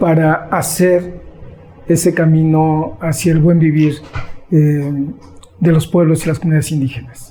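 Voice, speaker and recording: With music in the background, a man talks at a fairly slow pace with long, frequent pauses, his fairly high pitch, fairly even intonation and very even loudness holding throughout. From Mexico, Sierra Nororiental de Puebla. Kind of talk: interview. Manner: hesitant, many fillers.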